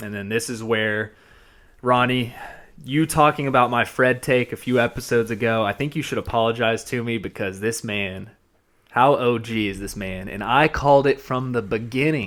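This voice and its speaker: A man with a slight Georgia accent and fairly even intonation. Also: medium pitch for a man, moderate pace. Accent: slight Southern (Georgia). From US South, Georgia. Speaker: podcast host. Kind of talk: casual chat. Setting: studio.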